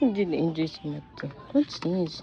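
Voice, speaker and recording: A woman at a fairly low pitch, lively in intonation, at a moderate pace amid noticeable background noise. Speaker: vlogger. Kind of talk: casual vlog chat. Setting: store.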